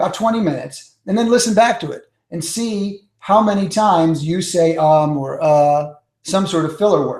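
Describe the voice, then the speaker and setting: A man's high-pitched voice in a New York accent, at a moderate pace with ordinary pitch variation. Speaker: public speaking coach. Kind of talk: webinar teaching. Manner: energetic.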